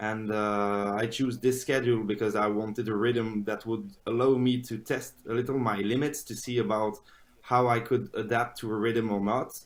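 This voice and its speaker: A man with a French accent, medium in pitch, with monotone, flat intonation. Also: moderate pace. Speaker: polyphasic sleeper. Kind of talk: interview. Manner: halting, many fillers.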